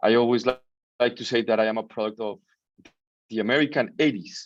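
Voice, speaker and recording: A man talks in a Colombian accent at a medium pitch. The background is quiet. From Colombia, Bogota. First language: Spanish. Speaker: business founder. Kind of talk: interview.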